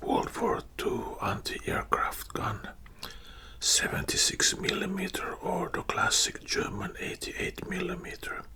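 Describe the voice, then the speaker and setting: Whispered male speech, fairly slow in pace. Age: old. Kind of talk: ASMR storytelling. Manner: whispered, soft-spoken.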